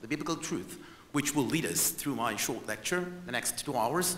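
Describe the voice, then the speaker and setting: The speaker has an Israeli accent. The recording carries noticeable background noise and audible room echo. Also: man. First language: not English. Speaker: historian and tour guide. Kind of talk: presentation lecture to conference audience. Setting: stage with audience. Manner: animated.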